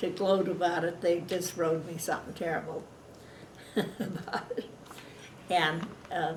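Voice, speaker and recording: A woman with a Pacific Northwest accent speaks at a fairly slow pace in a monotone, flat voice, with long, frequent pauses and noticeable background noise. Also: fairly low pitch for a woman. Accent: American, Pacific Northwest. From Washington state, USA. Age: 80s+. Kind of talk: oral history interview. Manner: hesitant, casual.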